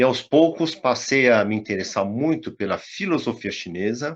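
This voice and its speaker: Against a quiet background, a man with a plain, everyday voice speaks at a fairly slow pace with lively intonation. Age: 60s. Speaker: tai chi teacher. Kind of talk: casual chat.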